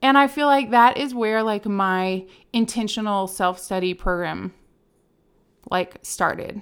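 The speaker has an unremarkable speaking voice with ordinary pitch variation and a fairly slow pace. The recording is very clean, with a silent background. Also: woman, medium pitch for a woman. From Richmond, Virginia. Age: 30s. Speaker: podcast co-host, gym founder. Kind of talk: casual chat. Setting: studio.

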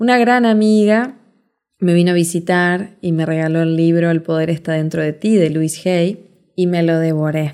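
In a Rioplatense accent, a woman speaks at a moderate pace with a fairly low pitch and ordinary pitch variation. Her tone is warm, dark and mellow. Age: 40s. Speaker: podcast host, life coach. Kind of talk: motivational monologue. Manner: warm, conversational.

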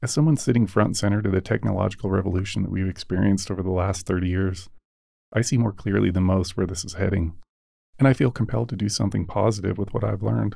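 A man talks at a very fast pace with a very deep, low pitch and vocal fry. His tone is dark and mellow, with ordinary pitch variation. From United States. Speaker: podcast host. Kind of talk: scripted narration.

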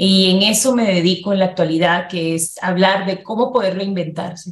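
An unremarkable speaking voice from a woman, medium in pitch, at a moderate pace with fairly even intonation. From Dominican Republic. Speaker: life coach and interviewer. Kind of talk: interview conversation.

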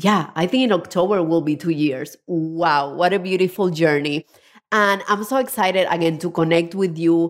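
With a Spanish accent and an enthusiastic tone, a woman speaks at a moderate pace, fairly low in pitch with ordinary pitch variation and very even loudness, on a very clean recording with a silent background.

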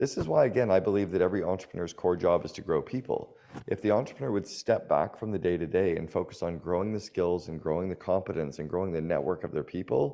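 The speaker has a Canadian accent. The pace is very fast. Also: man. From Canada. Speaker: business coach and author. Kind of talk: interview.

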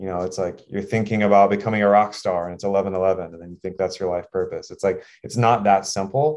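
With a fairly quick pace and fairly low pitch, a man talks in a plain, everyday voice. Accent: American. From Texas. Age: 30s. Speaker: performance coach. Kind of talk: casual chat.

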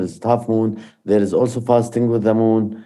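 A man with an Arabic accent speaks at medium pitch and a moderate pace in a dark, mellow tone. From Palestine, Jerusalem area. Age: 50s. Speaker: peace activist. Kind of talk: personal testimony.

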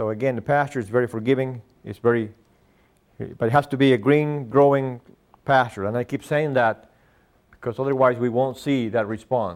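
A man speaks with a Spanish accent at a medium pitch. His intonation stays fairly even. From Argentina. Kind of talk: lecture. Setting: stage with audience. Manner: halting.

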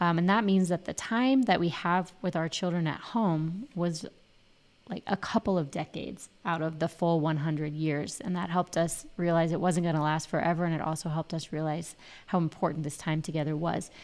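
A woman with a normal speaking voice, fairly low in pitch with ordinary pitch variation, on a very clean recording with a silent background. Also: fairly quick pace. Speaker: podcast co-host. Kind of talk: casual chat.

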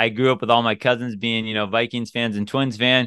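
A man with an American accent has an unremarkable speaking voice. His pitch is medium and his intonation fairly even. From US Pacific Northwest. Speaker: dating coach podcaster. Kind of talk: casual podcast advice.

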